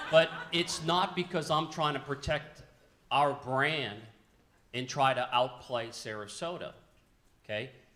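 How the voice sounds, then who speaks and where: Loud and bright with a sharp tone, a man speaks at a fairly high pitch with ordinary pitch variation and long, frequent pauses. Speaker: local government official on a panel. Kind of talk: panel discussion. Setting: luncheon event with audience. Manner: animated.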